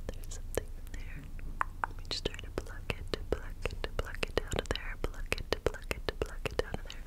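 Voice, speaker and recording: Whispering at a moderate pace, a woman sounds soft-spoken. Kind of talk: soft ASMR role-play talk. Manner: soft repetitive ASMR whisper. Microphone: phone near.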